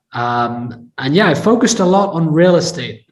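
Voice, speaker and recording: A somewhat breathy man with an American accent and lively intonation. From England. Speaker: tech entrepreneur and investor. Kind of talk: interview.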